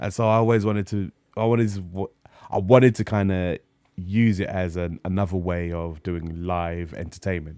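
With a London accent, a man speaks at a moderate pace in a very deep, low pitch and a dark, mellow tone, on a very clean recording with a silent background. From North London. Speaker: streamer and comedian. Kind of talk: casual chat. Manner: frequent laughter; halting, repeats words.

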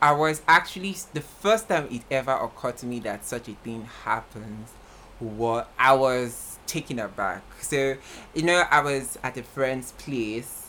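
This man speaks fairly slowly at a medium pitch, animated and with lively intonation. His tone is bright and sharp. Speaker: podcast co-host. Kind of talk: casual chat.

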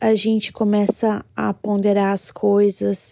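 A woman's medium-pitched voice with a dark, mellow tone, dry and close with no echo, on a very clean recording with a silent background. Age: 30s. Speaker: listener sending a voice message. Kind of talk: recorded testimony.

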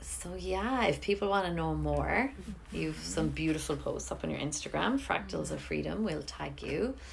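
Room echo can be heard. A woman speaks at a moderate pace. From Ireland. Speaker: podcast host, yoga teacher. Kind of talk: casual interview chat. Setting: home kitchen.

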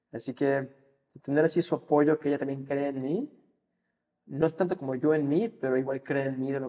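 A man speaks at a moderate pace with a fairly high pitch, a dark, mellow tone and ordinary pitch variation. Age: 20s. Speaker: financial advisor. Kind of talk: interview.

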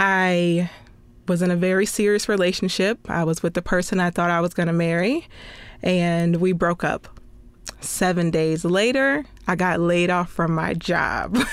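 A woman's normal speaking voice, fairly low in pitch, at a moderate pace, with fairly even intonation and very even loudness. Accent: American. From small-town Florida. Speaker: podcast host and television producer. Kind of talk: personal testimony monologue.

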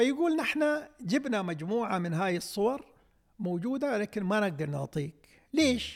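On a very clean recording with a silent background, a man with an Emirati accent speaks fairly slowly at a high pitch, with very wide pitch swings. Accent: Emirati Gulf Arabic. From UAE. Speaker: poet and writer. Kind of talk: interview.

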